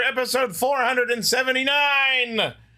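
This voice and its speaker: A man's raised, projected voice at an extremely high pitch, with noticeable background noise. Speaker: podcast host. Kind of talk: casual chat.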